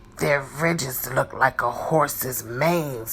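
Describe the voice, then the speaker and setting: A put-on, growling character voice at a low-to-middle pitch, fairly slow in pace, over clear background noise. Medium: read story. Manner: friendly, informative.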